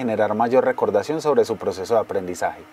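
A man's fairly quick, lively-intoned speech over noticeable background noise. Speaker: voice-over narrator. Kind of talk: educational course narration.

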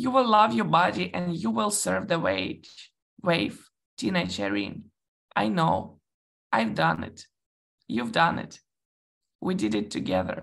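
Over a quiet background, a woman with a very deep, low pitch and vocal fry speaks at a fairly slow pace, her pitch swinging very widely, with long, frequent pauses. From Ukraine and Russia. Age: 20s. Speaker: intersex activist. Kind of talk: reading aloud. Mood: warm, reflective, proud. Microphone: video call.

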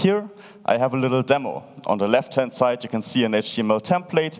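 Lively intonation marks a man speaking at a fairly quick pace over a quiet background. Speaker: conference speaker. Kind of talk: lecture. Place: stage. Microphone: headset.

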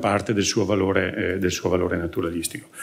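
The pace is very fast. A man is talking. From Veneto, Vicenza province; Veneto. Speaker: agricultural agency expert, conference speaker; conference presenter. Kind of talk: conference talk. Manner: hesitant, many filler sounds. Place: hall. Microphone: podium.

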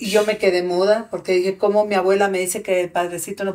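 The background is quiet. A woman talks at a very fast pace. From Mexico (arrived from Guatemala at 17). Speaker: activist; podcast guest. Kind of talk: testimony. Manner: animated. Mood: serious, emotional personal testimony. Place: studio. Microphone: studio mic.

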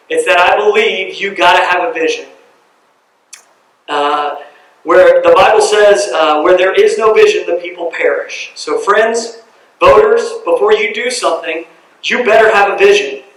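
A man with an American accent at a moderate pace, with audible room echo. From US South, Cumming, Georgia. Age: 30s. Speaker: city council candidate. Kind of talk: campaign speech.

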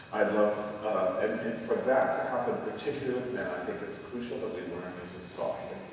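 There is strong room echo and light background noise. A man speaks with ordinary pitch variation. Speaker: presenter. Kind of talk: lecture. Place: church.

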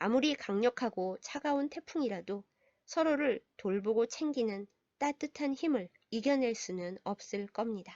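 Here is a woman with a plain, everyday voice, fairly high in pitch, speaking at a fairly slow pace with lively intonation. The sound is dry and close with no echo, over a quiet background. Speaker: pastor. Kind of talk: storytelling reflection. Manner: gentle, calm.

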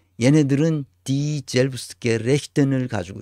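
A man speaks with a dark, mellow tone. The sound is dry with no echo, and the background is quiet. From South Korea. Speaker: lecturer on politics and organizations; lecturer on politics. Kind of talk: recorded lecture. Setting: recorded lecture video, not live. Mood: indignant, blunt. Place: home room.

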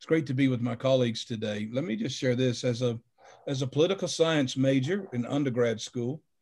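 A somewhat breathy voice at a moderate pace, with ordinary pitch variation and a quiet background. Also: man. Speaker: pastor guest on panel. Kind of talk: panel commentary, sermon-like. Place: home room. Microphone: video call.

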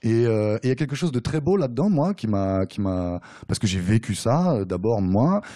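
Against a quiet background, a man with a dark, mellow tone speaks at a moderate pace with lively intonation. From France, Nemours area (Seine-et-Marne); France. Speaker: novelist. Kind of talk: author talk at bookshop. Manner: hesitant, many fillers. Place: shop.

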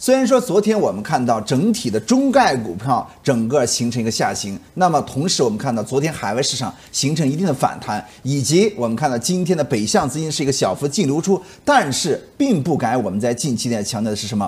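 A man speaks at a fairly quick pace in a somewhat breathy voice. His pitch swings very widely. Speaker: market analyst. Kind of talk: commentary. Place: studio.

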